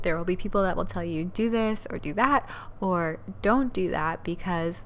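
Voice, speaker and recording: Soft-spoken and fairly low in pitch, a woman talks with audible room echo. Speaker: podcast host, dance teacher. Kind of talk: motivational solo talk.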